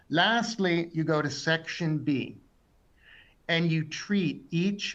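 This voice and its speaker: A man's voice with ordinary pitch variation carries audible room echo. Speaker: exam tutor. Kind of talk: webinar lecture.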